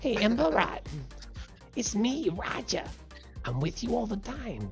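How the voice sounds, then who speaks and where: Over clear background music, someone puts on a squeaky character voice. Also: moderate pace. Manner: friendly.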